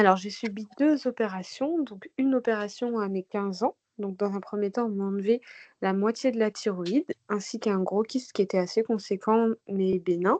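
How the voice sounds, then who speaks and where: An ordinary speaking voice at a moderate pace, with ordinary pitch variation over a quiet background. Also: woman, medium pitch for a woman, dry, close sound with no echo. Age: 30s. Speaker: patient sharing testimony. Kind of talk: testimony.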